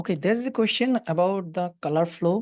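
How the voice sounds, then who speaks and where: With a Bangladeshi accent, a woman speaks at a fairly slow pace using lively intonation. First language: Bengali. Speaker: doctor teaching ultrasound. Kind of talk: lecture. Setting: webinar. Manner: halting.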